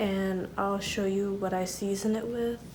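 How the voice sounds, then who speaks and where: Soft-spoken, a woman has a dark, mellow tone and a monotone, flat intonation. Audible room echo surrounds her voice. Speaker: lifestyle vlogger. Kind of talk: casual vlog chat. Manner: casual, filler-heavy; soft-spoken, quiet.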